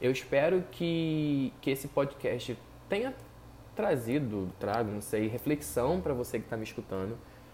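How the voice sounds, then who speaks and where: Lively intonation marks this man's plain, everyday voice, which sits at a medium pitch and moves at a moderate pace. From Brazil. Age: 20s. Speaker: psychologist and podcaster. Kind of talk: solo commentary podcast.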